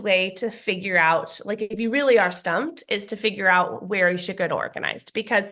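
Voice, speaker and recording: Against a quiet background, a woman talks at a fairly quick pace. Her tone is bright and sharp. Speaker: professional organizer. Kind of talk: conference talk. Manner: fast.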